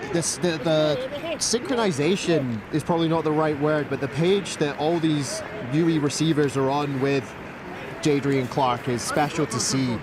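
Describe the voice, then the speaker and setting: Over noticeable background noise, a man speaks with a fairly high pitch and very even loudness. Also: ordinary pitch variation, moderate pace. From Scotland. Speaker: sports commentator. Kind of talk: live commentary.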